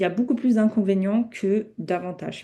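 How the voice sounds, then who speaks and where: A woman with a non-native accent, medium-pitched with a dark, mellow tone, fairly quick and with ordinary pitch variation, against a quiet background. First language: not French (speaking French). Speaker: Islamic teacher. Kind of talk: online lecture. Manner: halting, many self-corrections.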